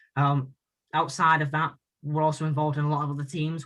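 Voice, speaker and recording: Loud and very fast, a man speaks at a fairly high pitch in a bright, sharp tone. The background is quiet. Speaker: student union candidate. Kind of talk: debate.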